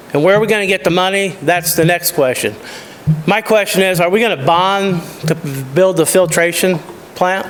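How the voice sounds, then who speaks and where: A man's high-pitched voice with fairly even intonation and very even loudness, long, frequent pauses, and noticeable background noise. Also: moderate pace. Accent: American. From US Midwest, Illinois (Peoria Heights). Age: 60s. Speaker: resident giving public comment. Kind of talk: public comment at a council meeting.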